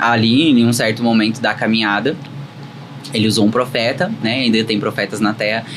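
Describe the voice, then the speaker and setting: Noticeable background noise sits behind this recording. A man speaks at a moderate pace. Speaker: gospel singer giving testimony. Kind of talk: testimony.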